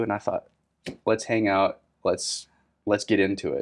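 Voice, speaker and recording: A man talks at a fairly quick pace, and the background is quiet. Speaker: podcast host. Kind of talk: interview intro and conversation. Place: office.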